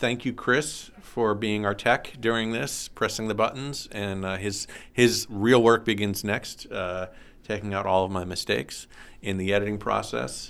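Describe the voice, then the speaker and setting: Using an ordinary speaking voice, a man talks at a fairly slow pace with a fairly low pitch and ordinary pitch variation. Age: 50s. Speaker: high school teacher and podcast host. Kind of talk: casual interview.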